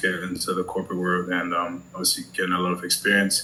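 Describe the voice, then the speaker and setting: A man's very deep, low voice with a German accent, fairly quick in pace, amid noticeable background noise. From Germany. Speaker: prospective client, business consultant. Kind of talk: sales call. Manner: hesitant, many fillers.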